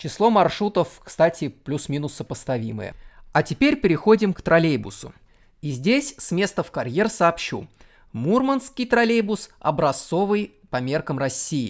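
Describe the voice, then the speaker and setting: Speech comes at a fairly slow pace. The recording is very clean, with a silent background. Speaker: transport video blogger. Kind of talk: scripted narration.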